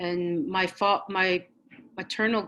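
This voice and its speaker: A woman with a bright, sharp tone talks fairly slowly. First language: Blackfoot. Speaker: election candidate. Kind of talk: campaign speech at a virtual forum. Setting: virtual forum, video call. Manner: halting, many fillers.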